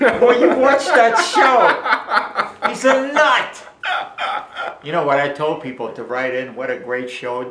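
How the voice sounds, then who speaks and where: Through audible room echo and noticeable background noise, a man speaks at a fairly slow pace. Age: 70s. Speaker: raw food author. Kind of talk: casual interview. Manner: animated.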